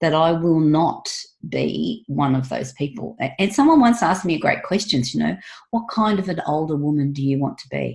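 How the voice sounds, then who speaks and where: This woman's voice shows vocal fry and lively intonation. Her pace is moderate. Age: 60s. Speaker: wellness coach and former nurse. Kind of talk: casual interview.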